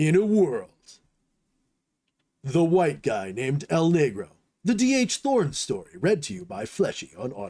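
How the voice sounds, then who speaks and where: Putting on a character voice, a man speaks fairly high with very wide pitch swings at a moderate pace. He leaves long, frequent pauses. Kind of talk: old-style announcer voice. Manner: dramatic.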